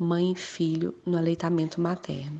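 A woman's fairly low voice at a fairly slow pace. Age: 30s. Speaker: teacher and mother. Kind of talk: interview testimony. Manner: halting.

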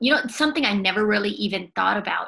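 A woman with an American accent has a fairly high, bright, sharp tone. Vocal fry shows in her voice. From United States. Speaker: podcast host, sales entrepreneur. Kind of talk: interview podcast. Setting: video call.

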